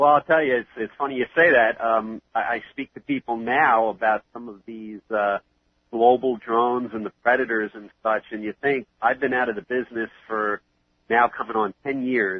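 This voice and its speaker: The speaker has a New York accent. The intonation stays fairly even. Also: man, medium pitch for a man, moderate pace. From New York City (Queens). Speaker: 9/11 first responder, charity founder. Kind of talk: interview.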